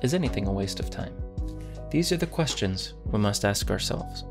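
A man talks at a moderate pace. Clear music is heard behind him. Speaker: Minecraft content creator. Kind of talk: casual talk to camera. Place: home room.

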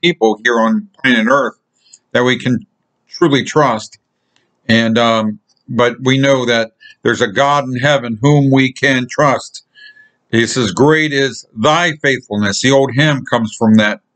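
There is a quiet background as a man talks at a fairly slow pace with ordinary pitch variation. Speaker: lay preacher. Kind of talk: sermon. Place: home room. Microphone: webcam.

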